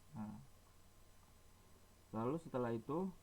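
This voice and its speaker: Here a man talks at a fairly slow pace in a medium pitch. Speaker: university student. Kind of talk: tutorial. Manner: halting, many fillers.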